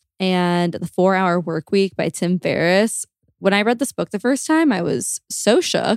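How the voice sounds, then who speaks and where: An unremarkable speaking voice at a fairly slow pace with lively intonation, in a dry, close sound with no echo. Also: woman, medium pitch for a woman. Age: 20s. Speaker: podcast co-host. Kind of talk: casual chat.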